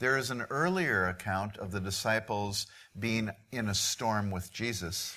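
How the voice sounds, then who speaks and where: In a very clean recording with a silent background, a man speaks very slowly in a fairly low pitch, his tone bright and sharp, with ordinary pitch variation. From Midwest US. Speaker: missionary preacher. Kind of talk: sermon.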